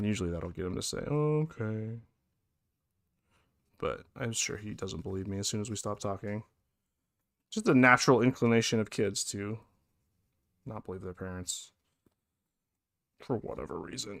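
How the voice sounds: With long, frequent pauses, a man speaks at a moderate pace, using a fairly low pitch, a fairly bright tone, vocal fry and ordinary pitch variation.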